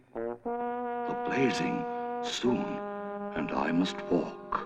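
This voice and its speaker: A put-on character voice moves at a very slow pace. Loud music plays behind it, and a clear echo rings out. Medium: short film. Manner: doleful, hollow.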